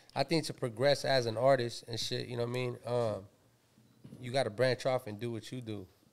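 Fairly quick and with an American accent, a man speaks with fairly even intonation and big swings in loudness. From Pomona, Southern California. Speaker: rapper and producer. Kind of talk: casual interview chat. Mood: relaxed, laid-back. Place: studio. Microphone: studio mic.

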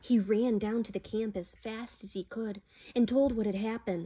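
The voice is somewhat breathy, set against a quiet background. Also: woman. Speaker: storyteller reading a picture book aloud. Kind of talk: slow, solemn reading aloud of a legend, with a hushed, reverent storybook tone. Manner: measured and dramatic, pausing for effect. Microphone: phone near.

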